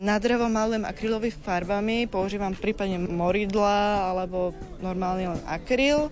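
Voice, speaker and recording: A woman talks at a moderate pace with a normal speaking voice. Her pitch sits at medium with ordinary variation. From Slovakia, Vajnory near Bratislava. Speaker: folk ornament artist. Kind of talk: interview.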